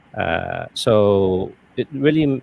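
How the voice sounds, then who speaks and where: A man speaks with lively intonation. His pitch is fairly low. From Malaysia. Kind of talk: interview answer. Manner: hesitant, many fillers.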